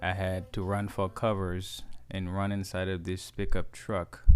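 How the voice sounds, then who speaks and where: A man with a Haitian accent speaks at a very slow pace in a very deep, low pitch. His intonation is monotone and flat, and his tone is dark and mellow. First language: Haitian Creole. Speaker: DIY handyman. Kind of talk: DIY repair tutorial. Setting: outdoors.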